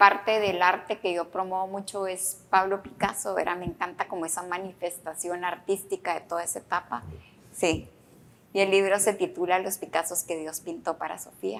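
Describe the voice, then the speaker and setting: A woman's ordinary speaking voice, medium in pitch and moderate in pace, with fairly even intonation and big swings in loudness. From Guatemala. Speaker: podcast host, author. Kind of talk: interview.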